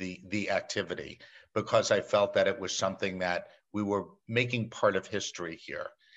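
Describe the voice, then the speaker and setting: Here a man speaks with a New York accent at a fairly low pitch. The background is quiet. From New York City. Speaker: meeting planner. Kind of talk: casual interview chat.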